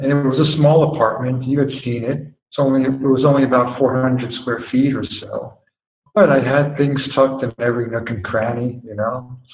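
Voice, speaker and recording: Here a man with an unremarkable speaking voice talks at a moderate pace, with medium pitch and fairly even intonation. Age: 50s. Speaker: guest sharing life experience. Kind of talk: casual interview conversation.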